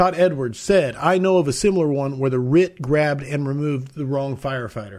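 This man has an ordinary speaking voice, fairly high in pitch. He talks at a fairly quick pace. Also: ordinary pitch variation. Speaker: podcast host. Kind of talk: casual interview chat. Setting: live video stream.

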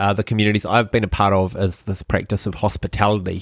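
A man with a New Zealand accent, fairly low in pitch, at a moderate pace, in a very clean recording with a silent background. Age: 30s. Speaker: podcast host, church network leader. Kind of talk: casual chat about faith.

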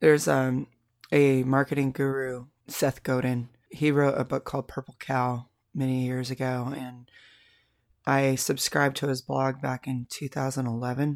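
A moderate pace and monotone, flat intonation, with an American accent, in a dry, close sound with no echo. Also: woman, very deep, low pitch for a woman. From Salem, Oregon. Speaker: podcast host and musician. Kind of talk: casual interview chat. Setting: home studio.

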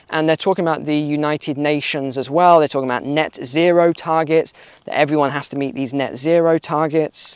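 A man speaks at a fairly quick pace and a fairly high pitch in a very clean recording with a silent background and a dry, close sound with no echo. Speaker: YouTube commentator and course seller. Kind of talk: news commentary vlog, walking and talking. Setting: outdoors, walking, busy street. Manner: animated, conversational; loud.

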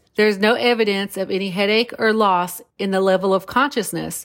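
A woman speaks in a normal speaking voice at a medium pitch. Her pace is fairly quick and her intonation fairly even. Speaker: podcast host. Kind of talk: true-crime narration, reading case facts. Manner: grave, measured, somber; formal, steady pace, factual.

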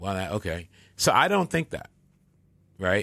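In a very clean recording with a silent background, a man with an American accent and a fairly low pitch talks at a fairly quick pace in an unremarkable speaking voice. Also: dry, close sound with no echo. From Michigan. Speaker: podcast host. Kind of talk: casual chat.

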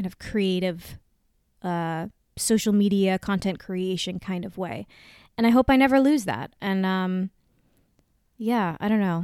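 The recording is very clean, with a silent background. A woman talks fairly slowly at a medium pitch, with ordinary pitch variation. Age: 30s. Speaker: podcast host. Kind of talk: casual monologue.

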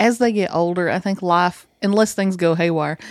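A woman with a plain, everyday voice speaks at a fairly quick pace, her pitch medium with ordinary variation. The recording is very clean, with a silent background. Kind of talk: casual chat.

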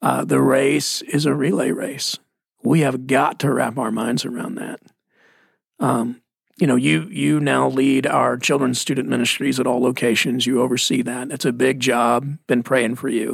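Speaking with a Texas accent, a man uses a medium pitch and ordinary pitch variation. He keeps a moderate pace. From Texas (Mesquite). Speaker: pastor. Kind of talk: casual chat.

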